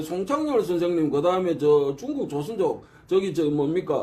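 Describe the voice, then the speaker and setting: Noticeable background noise surrounds this voice. It moves at a fairly quick pace with very wide pitch swings. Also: man. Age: old. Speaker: martial arts researcher. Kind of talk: casual lecture. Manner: halting, many fillers.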